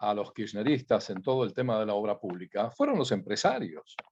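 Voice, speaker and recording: A man's dark, mellow tone. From Argentina. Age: 70s. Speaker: company founder. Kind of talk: interview.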